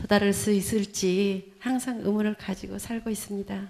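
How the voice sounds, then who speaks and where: Flat, monotone delivery from a woman at a moderate pace. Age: 60s. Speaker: audience member asking a question; audience member. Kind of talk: audience question. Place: hall.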